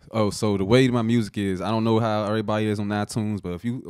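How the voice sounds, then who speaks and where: A man with an American accent speaks in a plain, everyday voice, his fairly low pitch following a fairly even intonation against a quiet background with a dry sound and no echo. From US Mid-Atlantic (DMV). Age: 20s. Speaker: rapper; guest. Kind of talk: casual chat. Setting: studio. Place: studio. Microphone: studio mic.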